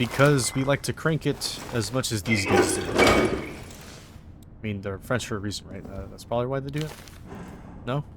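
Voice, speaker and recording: With long, frequent pauses and big swings in loudness, a man speaks at a medium pitch over noticeable background noise. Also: ordinary pitch variation, moderate pace. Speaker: gaming YouTuber. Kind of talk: gameplay commentary.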